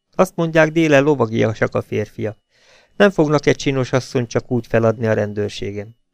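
Here someone is reading aloud in a natural voice.

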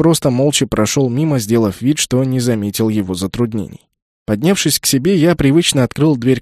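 Quiet background behind an unforced reading voice.

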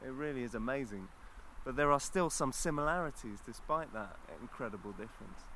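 Speaking at a fairly quick pace in a London accent, a man has a bright, sharp tone at medium pitch with ordinary pitch variation. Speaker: visiting guest. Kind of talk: casual chat. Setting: outdoors.

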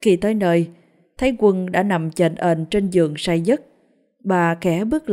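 Over a quiet backdrop, text is read aloud in a natural voice.

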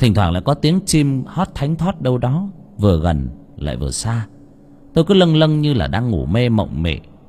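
A natural reading voice is heard.

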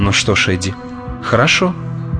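Reading in a natural voice

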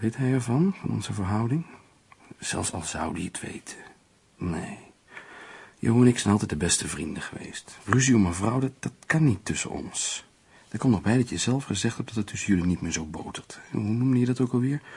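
Using a put-on character voice, a man speaks at a moderate pace with a fairly low pitch, lively intonation, a slightly mellow tone, a husky, rough edge and vocal fry.

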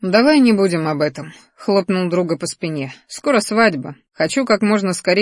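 Against a quiet backdrop, someone reads aloud plainly.

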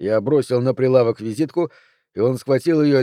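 A natural reading voice with ordinary pitch variation is heard over a quiet background.

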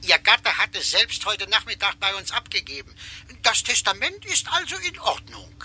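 In a put-on character voice, a man speaks high, with very wide pitch swings, a bright, sharp tone, and a moderate pace.

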